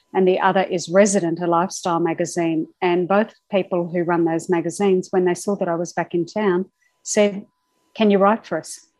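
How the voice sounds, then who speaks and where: A woman's fairly quick, flat, monotone delivery with an Australian accent. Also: medium pitch for a woman. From Australia (Brisbane). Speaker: travel writer. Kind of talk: interview. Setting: remote call.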